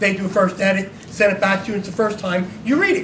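The speech comes at a very fast pace with fairly even intonation. Light background noise and audible room echo are present. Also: man. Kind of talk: speech to an audience. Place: hall. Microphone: camera far.

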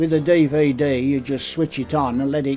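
A man with a Birmingham accent, fairly even in intonation, faint music in the background. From Birmingham, England. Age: 80s+. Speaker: retired cinema projectionist. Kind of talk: interview answer. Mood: warm, good-humoured.

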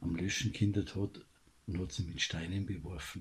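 Speaking at a very slow pace, a man has a very deep, low voice that is somewhat breathy. He has a Bavarian accent. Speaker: commentator. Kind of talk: political commentary monologue. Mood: indignant, critical.

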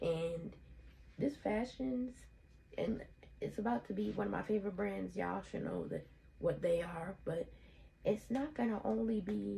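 A woman with vocal fry speaks at a fairly slow pace, with very wide pitch swings and long, frequent pauses. Light background noise is present. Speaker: fashion vlogger. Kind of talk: casual vlog chat. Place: home room. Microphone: phone near.

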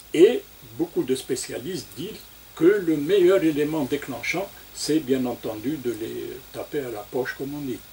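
Over light background noise, a man speaks at a fairly slow pace in a fairly high pitch. His voice is somewhat breathy and dark and mellow in tone, with big swings in loudness. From Algeria. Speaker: oncology professor and national cancer plan coordinator; guest. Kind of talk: radio interview. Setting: studio. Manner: formal. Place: studio. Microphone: studio mic.

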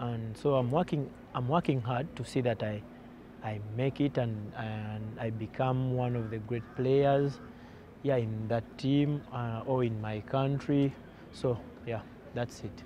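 A man speaks at a fairly slow pace in a dark, mellow, somewhat breathy tone, the sound dry with no echo and noticeable noise behind him. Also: medium pitch for a man, fairly even intonation. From Uganda. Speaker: professional footballer. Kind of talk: farewell interview. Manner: halting, with frequent repetitions and fillers. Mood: grateful, calm farewell. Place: open country.

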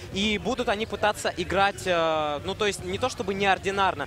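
Ordinary pitch variation at a fairly quick pace. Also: man. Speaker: esports commentator. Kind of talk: live commentary.

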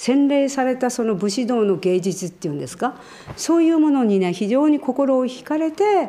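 A woman speaks in a high pitch at a moderate pace. Her voice swings very widely in pitch. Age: 70s. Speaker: iaido master and instructor. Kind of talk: interview answer. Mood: calm, earnest, humble. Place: hall.

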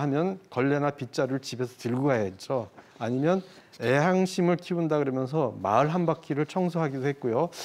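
A man has a plain, everyday voice at a fairly high pitch. He keeps a moderate pace with ordinary pitch variation. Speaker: photographer. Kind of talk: explanatory talk on a broadcast segment.

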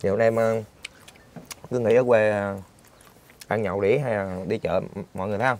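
A man talks at a moderate pace in a fairly low pitch, with fairly even intonation. His long, frequent pauses come through a dry sound with no echo. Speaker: vlogger. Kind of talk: casual vlog narration. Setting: outdoors at a market. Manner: chatty. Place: home room. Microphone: lapel.

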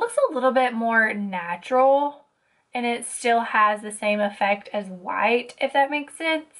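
Pitch variation in this woman's voice is ordinary. She talks fairly slowly. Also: quiet background. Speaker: beauty vlogger. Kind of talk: tutorial. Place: home room.

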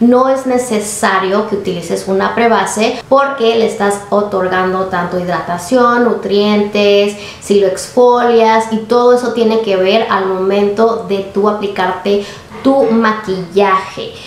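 With fairly even intonation, a woman talks amid audible room echo. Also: fairly slow pace. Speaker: beauty vlogger. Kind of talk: casual vlog chat. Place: home room.

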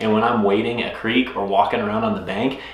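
Audible room echo fills the recording. A man speaks fairly quickly in it. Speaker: fishing vlogger. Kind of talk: casual vlog chat. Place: home room.

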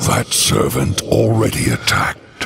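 A man's put-on character voice, fairly low with vocal fry, big pitch swings and a slow pace. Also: fairly bright tone.

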